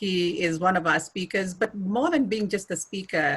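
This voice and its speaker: Bright and sharp in tone, this voice carries a Kenyan accent, moving at a moderate pace with fairly even intonation. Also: woman. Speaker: refugee speakers bureau coordinator. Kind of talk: interview host introduction.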